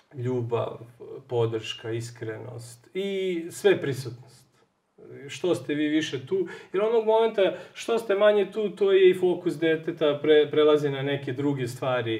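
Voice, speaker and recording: In a quiet setting, a man talks fairly slowly. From Serbia. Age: 30s. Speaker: software engineer; interview guest. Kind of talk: TV interview. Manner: halting. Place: home room.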